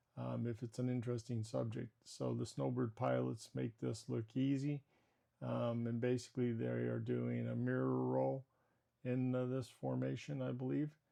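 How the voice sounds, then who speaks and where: The loudness stays very even throughout. The pace is moderate. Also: man. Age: 60s. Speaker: retired military pilot turned YouTube creator. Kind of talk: casual vlog tutorial. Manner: frequent filler words, uh and um.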